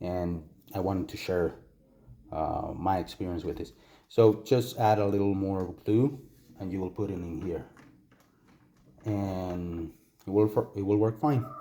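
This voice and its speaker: Pausing long and often, a man with a Spanish accent speaks fairly slowly in a fairly low pitch with a dark, mellow tone. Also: ordinary pitch variation. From Costa Rica. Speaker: toy collector reviewer. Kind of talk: product review tutorial. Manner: hesitant, many fillers and repetitions.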